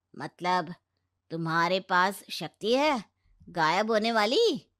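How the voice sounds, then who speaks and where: A woman uses a cartoonish character voice at a medium pitch, speaking at a very slow pace. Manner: sarcastic.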